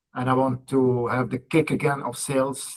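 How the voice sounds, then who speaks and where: A man with a European accent speaks at a medium pitch. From Belgium. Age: 40s. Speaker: salesperson. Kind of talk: coaching call introduction.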